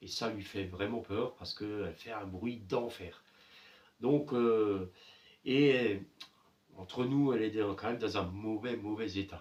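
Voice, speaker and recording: Someone with a slight Alsatian accent speaks at a fairly slow pace with lively intonation. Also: man. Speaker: appliance repair youtuber. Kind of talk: repair tutorial. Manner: hesitant, many filler sounds.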